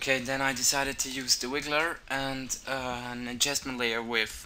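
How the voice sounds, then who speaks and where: A man with a non-native accent at a moderate pace. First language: not English. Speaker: video tutorial maker. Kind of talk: tutorial. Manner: halting, many fillers.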